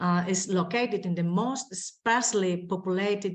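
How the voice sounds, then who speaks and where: A woman with a Spanish accent, medium pitch, moderate pace and fairly even intonation. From Spain. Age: 20s. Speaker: mayor. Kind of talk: conference presentation. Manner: halting.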